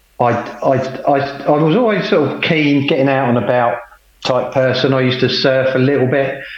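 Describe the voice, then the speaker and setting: A man speaks at a moderate pace and a medium pitch, keeping his loudness very even. Noticeable background noise runs under the recording. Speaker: cancer survivor and Ironman athlete, former police officer. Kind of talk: casual interview, personal storytelling. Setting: video call from home by the sea. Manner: conversational, hesitant with fillers.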